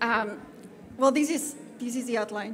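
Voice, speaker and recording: Over noticeable background noise, a woman with a French accent talks at a fairly slow pace with ordinary pitch variation. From France. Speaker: conference speaker on community safety. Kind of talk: conference presentation. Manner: halting, many fillers.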